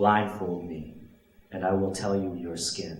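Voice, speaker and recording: Noticeable background noise sits behind a man speaking at a very slow pace. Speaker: spoken word poet. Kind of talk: spoken word poetry performance.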